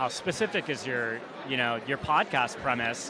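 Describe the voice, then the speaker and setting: Fairly even intonation from a man, set against noticeable background noise. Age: 40s. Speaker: podcast interviewer. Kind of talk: interview.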